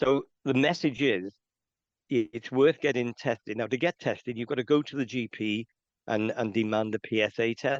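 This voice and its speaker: Against a quiet background, a man with a Welsh accent speaks at a moderate pace and medium pitch with ordinary variation, the sound dry and close with no echo. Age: 60s. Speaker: men's health charity representative. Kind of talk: interview.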